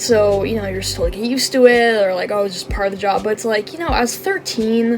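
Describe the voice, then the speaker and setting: A woman's very fast, lively speech at medium pitch, hardly any pauses, with noticeable background noise. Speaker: gaming YouTuber. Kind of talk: casual talk to camera. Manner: halting, many fillers.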